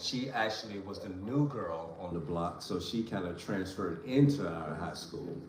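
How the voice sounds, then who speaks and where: The speaker has an American accent and a fairly slow pace, with ordinary pitch variation. There is audible room echo and noticeable background noise. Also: man. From Virginia, Richmond area. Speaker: family vlogger. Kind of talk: casual chat.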